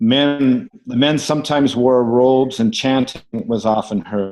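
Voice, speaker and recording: A man with a Canadian accent, medium pitch, ordinary pitch variation and a fairly slow pace, against a quiet background. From Ontario, Canada. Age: 60s. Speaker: abuse survivor. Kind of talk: testimony. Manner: halting, with frequent fillers.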